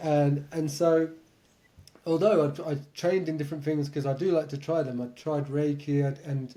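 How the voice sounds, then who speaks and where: A man's fairly high-pitched voice with a dark, mellow tone, an English accent, fairly even intonation, and a moderate pace. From England. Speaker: meditation and lucid dreaming teacher. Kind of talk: podcast interview.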